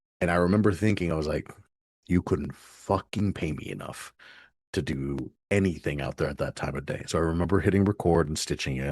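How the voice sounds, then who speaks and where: A man talks at a fairly quick pace in a very deep, low pitch with vocal fry. His tone is animated, and the background is quiet. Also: ordinary pitch variation. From Mexico, Ensenada, raised in Florida. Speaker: content creator. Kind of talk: interview storytelling.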